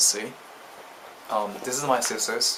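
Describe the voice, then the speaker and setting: A man talks at a moderate pace in a monotone, flat intonation. Noticeable background noise and audible room echo fill the recording. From Japan. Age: 20s. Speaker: vlogger. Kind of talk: casual explanatory vlog. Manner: hesitant, frequent ums.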